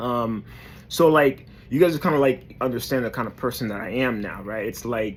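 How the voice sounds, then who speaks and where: A man with a medium pitch speaks in a New York accent. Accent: New York urban American English. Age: 30s. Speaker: motivational vlogger. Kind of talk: motivational talk to camera. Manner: hesitant, many fillers.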